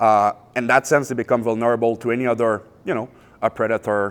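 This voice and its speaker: A man at medium pitch and moderate pace. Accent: Quebec. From Quebec. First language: French. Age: 30s. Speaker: pest and wildlife control business owner. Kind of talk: public presentation. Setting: public event with audience. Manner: hesitant, many filler uhs.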